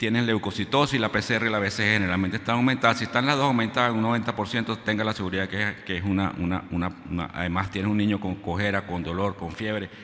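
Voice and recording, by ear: A man speaks fast with few pauses, a fairly low pitch, a fairly bright tone and fairly even intonation.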